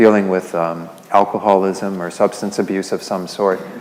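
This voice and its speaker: A soft-spoken man with a fairly low pitch. He talks at a fairly quick pace. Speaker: Buddhist lay teacher. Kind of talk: Buddhist teaching talk to a class.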